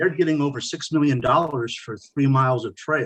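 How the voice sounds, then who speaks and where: A man speaks in a normal speaking voice, fairly high in pitch, at a moderate speed, with normal pitch movement. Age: 60s. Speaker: committee member. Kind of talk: public meeting discussion. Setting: video call.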